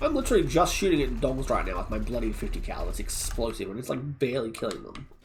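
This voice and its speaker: Mumbling at a very fast pace, a man talks with hardly any pauses. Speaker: streamer. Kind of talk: casual chat while gaming.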